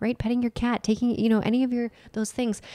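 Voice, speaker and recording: Soft-spoken, a woman talks with a dark, mellow tone in a dry, close sound that has no echo. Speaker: nutritional therapist and lifestyle coach podcast co-host. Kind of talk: casual chat.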